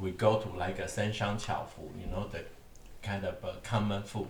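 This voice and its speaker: A man's fairly low voice at a moderate pace, fairly even in intonation, with audible room echo and noticeable background noise. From Taiwan. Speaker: podcast host. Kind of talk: casual chat. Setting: dinner table at home.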